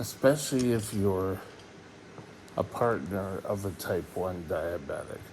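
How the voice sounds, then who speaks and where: Speaking at a fairly slow pace with long, frequent pauses, a man uses a fairly low pitch and ordinary pitch variation, with audible room echo and noticeable background noise. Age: 60s. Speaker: diabetes vlogger. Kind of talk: casual vlog monologue.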